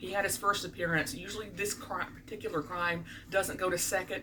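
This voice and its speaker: A woman with a slight Southern US accent speaks at a fairly low pitch and moderate pace against noticeable background noise. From US South (Birmingham, Alabama). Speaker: vlogger, court clerk. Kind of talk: casual vlog monologue. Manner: animated.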